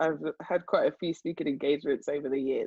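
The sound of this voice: In a dry, close recording with no echo, a woman with low pitch and a slightly husky edge talks at a fairly quick pace.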